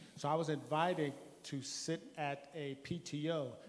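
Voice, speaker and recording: The speaker is a man with a fairly high pitch. His delivery stays monotone and flat. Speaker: community program organizer. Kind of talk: community forum remarks. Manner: fast.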